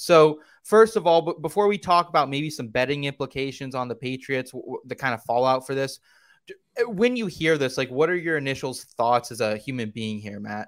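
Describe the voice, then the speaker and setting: On a very clean recording with a silent background, a man with a normal speaking voice talks at a moderate pace in a fairly high voice with lively intonation. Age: 20s. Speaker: fantasy football podcast host. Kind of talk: casual chat.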